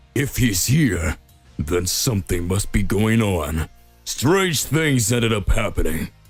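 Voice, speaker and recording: Doing a put-on character voice at a medium pitch, a man speaks fairly slowly with very wide pitch swings over faint background music. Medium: read story.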